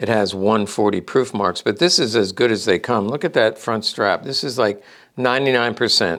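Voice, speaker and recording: A man talks at a moderate pace in a medium pitch with ordinary pitch variation. It is an ordinary speaking voice on a very clean recording with a silent background. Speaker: gun collectibles dealer. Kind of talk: show-and-tell product presentation. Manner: casual, many fillers.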